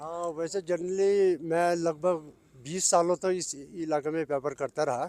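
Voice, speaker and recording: This is a man with a normal speaking voice. His pitch is fairly high and his intonation fairly even. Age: 60s. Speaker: retired border trader. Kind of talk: news interview.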